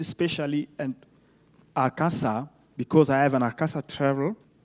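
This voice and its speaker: Spoken with a French accent, this is a very clean recording with a silent background. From Congo. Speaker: academic, panelist. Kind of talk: panel talk. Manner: halting.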